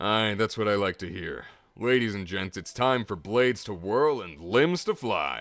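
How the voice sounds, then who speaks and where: A gravelly, put-on character voice moves at a moderate pace with lively intonation. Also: man, fairly low pitch for a man. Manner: theatrical, bombastic.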